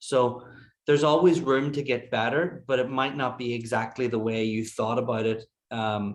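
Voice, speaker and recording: A man with a medium pitch keeps his intonation fairly even while talking at a moderate pace. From Ireland. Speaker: golf putting coach. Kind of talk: webinar presentation. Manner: hesitant, many fillers.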